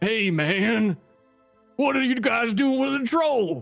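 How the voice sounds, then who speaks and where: A man uses a put-on character voice with extremely high pitch. He goes at a fairly slow pace while faint music plays in the background. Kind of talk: stoner drawl. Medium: actual play. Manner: twitchy, pleading, casual.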